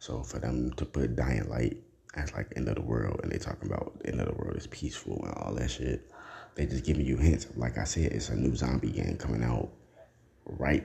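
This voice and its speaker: Talking at a fairly quick pace with fairly even intonation, a man with a very deep, low pitch is heard through noticeable background noise. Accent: American. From United States. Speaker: podcast host. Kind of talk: casual solo monologue.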